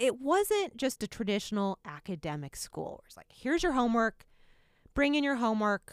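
A woman with an American accent talks at a moderate pace in a fairly high pitch, with very wide pitch swings and big swings in loudness. The sound is dry and close with no echo, on a very clean recording with a silent background. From Indiana, Muncie. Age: 40s. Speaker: television executive producer. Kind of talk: interview.

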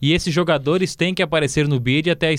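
This man has an ordinary speaking voice, pitched fairly high. He talks at a fairly quick pace on a very clean recording with a silent background. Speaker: sports journalist, club beat reporter. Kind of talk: casual football podcast chat.

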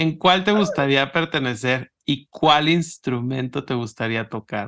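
In a normal speaking voice, a man talks at a fairly slow pace with a fairly high pitch and ordinary pitch variation, and the background is quiet. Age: 30s. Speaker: podcast host. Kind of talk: interview.

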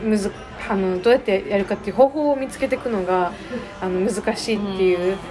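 Music in the background behind a woman's medium-pitched voice at a very fast pace. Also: ordinary pitch variation. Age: 19. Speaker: high school graduate, founder of student nonprofit. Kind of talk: casual interview. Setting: cafe.

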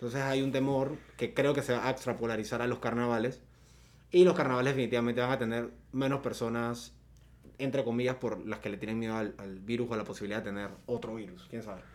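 With fairly even intonation, a man delivers his words at a very fast pace. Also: medium pitch for a man. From Panama, Coclé roots, born in San Fernando. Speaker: podcast co-host. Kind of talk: casual chat.

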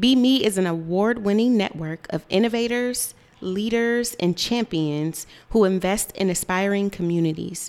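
A woman with a plain, everyday voice speaks at a medium pitch and a fairly slow pace, her pitch varying in an ordinary way. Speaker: radio co-host. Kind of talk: casual radio talk show. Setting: radio studio.

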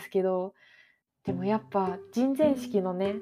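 This woman's voice sits at medium pitch. Her tone is dark and mellow. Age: 20s. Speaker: podcast host, freelance anime industry worker. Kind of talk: casual solo talk.

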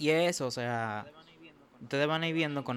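A man uses a normal speaking voice at a fairly quick pace. His intonation stays fairly even. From Dominican Republic, Santo Domingo. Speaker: podcast host, medical student. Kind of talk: casual chat.

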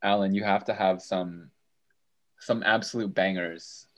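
A man with an unremarkable speaking voice talks at a fairly low pitch and a moderate pace. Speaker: student podcast co-host. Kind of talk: casual chat.

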